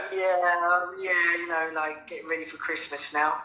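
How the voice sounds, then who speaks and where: A high-pitched man in a Cockney accent, flat and monotone at a fairly slow pace, with audible room echo and noticeable background noise. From London, England. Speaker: radio show guest. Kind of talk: interview.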